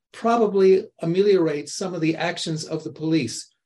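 A high-pitched man at a moderate pace with ordinary pitch variation. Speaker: retired environmental lawyer. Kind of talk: casual group chat. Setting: video call.

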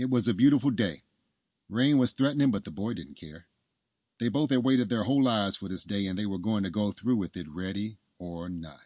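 With a normal speaking voice pitched fairly low, a man talks at a fairly quick pace with lively intonation against a quiet background. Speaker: audiobook narrator. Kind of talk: literary audiobook reading, scripted storytelling narration. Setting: studio podcast recording. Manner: calm, measured, storybook-like pacing; warm, earnest, gently romantic.

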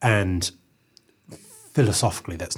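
A man talks with a New Zealand accent. His voice is somewhat breathy. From New Zealand, Eastbourne near Wellington. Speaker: journalist and academic researcher. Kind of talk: interview conversation. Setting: radio studio.

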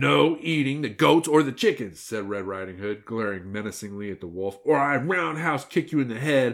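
The delivery is plain reading aloud, and the intonation is lively.

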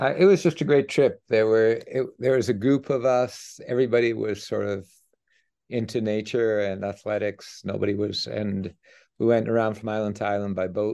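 A man speaks in a normal speaking voice with medium pitch and ordinary pitch variation. His pace is moderate, and the background is quiet. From Canada, Edmonton, Alberta. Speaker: economics professor. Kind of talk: interview.

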